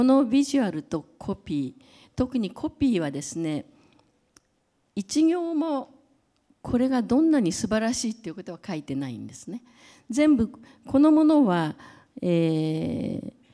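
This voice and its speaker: A woman with a dark, mellow tone speaks at a fairly slow pace, leaving long, frequent pauses. Her pitch swings very widely and her loudness shifts in big swings against a quiet background. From Japan. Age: 70s. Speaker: creative director and brand advisor; speaker. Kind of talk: lecture; public talk. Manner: halting, many fillers. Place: hall. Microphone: handheld.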